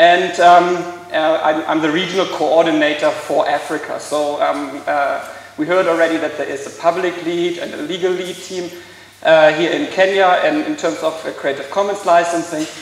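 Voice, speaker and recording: With a German accent, a man speaks in a high, flat monotone at a moderate pace. Room echo is audible, and background noise is noticeable. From Germany. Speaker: law lecturer and intellectual property expert. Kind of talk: conference talk. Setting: stage with audience. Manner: hesitant, many fillers.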